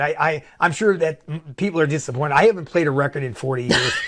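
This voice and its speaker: Against noticeable background noise, a man with a fairly high pitch talks at a very fast pace with lively intonation. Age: 60s. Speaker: record collector. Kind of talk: casual chat.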